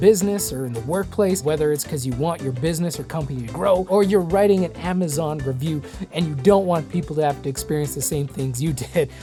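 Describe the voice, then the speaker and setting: A relaxed woman with a very deep, low pitch, lively intonation and a fairly quick pace, music in the background. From Saskatchewan, Canada. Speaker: voice actor. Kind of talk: voice-over tutorial talk to camera. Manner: casual, relaxed.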